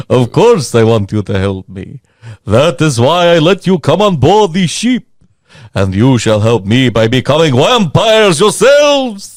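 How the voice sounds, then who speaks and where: Putting on a character voice, a man speaks at a fairly high pitch and a moderate pace, with very wide pitch swings. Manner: cruel, menacing.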